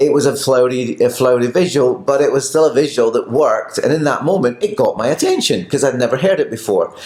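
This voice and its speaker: A man's fairly high voice at a very fast clip, hardly any pauses, very even loudness and ordinary pitch variation, over noticeable background noise. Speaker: pilates teacher. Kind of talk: casual chat.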